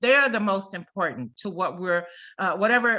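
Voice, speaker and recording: A woman speaks at a moderate pace with a medium pitch, ordinary pitch variation, and a bright, sharp tone. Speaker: program coordinator for a family support network. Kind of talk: online presentation walking through slides. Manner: halting, with many fillers.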